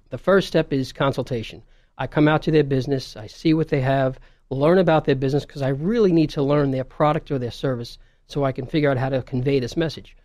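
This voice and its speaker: A man with a New York accent, a fairly high pitch, ordinary pitch variation and a very fast pace. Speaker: video marketing business owner. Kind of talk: radio interview.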